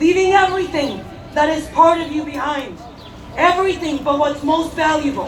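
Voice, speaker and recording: With audible room echo and noticeable background noise, a woman speaks at an extremely high pitch with ordinary pitch variation. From Mexico. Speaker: activist speaker. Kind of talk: rally speech.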